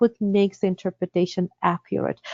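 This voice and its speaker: A woman with a Russian accent talks at a moderate pace. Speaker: interpreter certification director. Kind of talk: webinar presentation. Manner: hesitant, many fillers.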